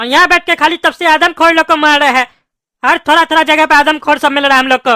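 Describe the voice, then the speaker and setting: A cartoonish character voice, high-pitched and very fast. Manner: gruff, scolding.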